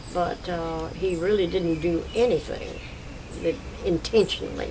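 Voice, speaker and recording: Over noticeable background noise, a woman speaks with a fairly low pitch and ordinary pitch variation. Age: 80s+. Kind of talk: family oral history interview answer.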